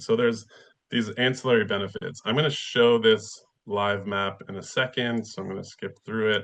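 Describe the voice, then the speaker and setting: A man puts on a raspy character voice at a medium pitch. His loudness swings widely as he talks at a moderate pace. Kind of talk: presenting at a talk or conference. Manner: talking fast.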